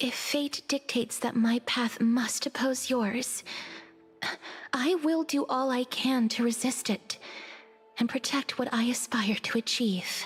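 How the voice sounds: A woman uses a put-on character voice, fairly high with a husky, rough edge and ordinary pitch variation. She goes at a slow pace, with faint music in the background.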